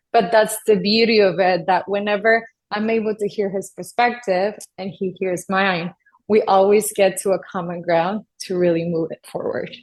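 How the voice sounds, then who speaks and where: Speaking in a monotone with flat intonation, a woman with a Spanish accent keeps a moderate pace and a medium pitch. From US-Mexico border, Texas. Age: 30s. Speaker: addiction psychiatrist. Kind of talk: podcast interview.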